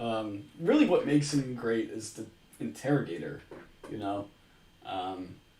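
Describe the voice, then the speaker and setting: In a room with audible echo, a man speaks at a fairly slow pace and a medium pitch with lively intonation, big swings in loudness and long, frequent pauses. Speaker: streamer. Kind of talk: casual commentary. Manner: animated.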